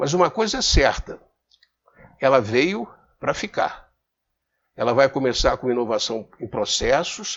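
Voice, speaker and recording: The speaker's pitch swings very widely while the delivery moves at a fairly slow pace. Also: man. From Rio de Janeiro, Brazil. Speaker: business commentator. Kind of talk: casual talk to camera. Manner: halting, repeats words.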